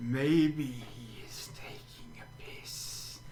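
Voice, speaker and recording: Whispering in a put-on character voice, a man speaks over clear background noise. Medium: actual play. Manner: stiff, formal, avoids contractions.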